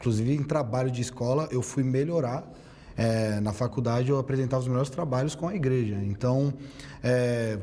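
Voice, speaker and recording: Over noticeable background noise, a man talks at a moderate pace with very even loudness. His pitch is medium, with ordinary variation. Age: 30s. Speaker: theologian and debater. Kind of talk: debate statement.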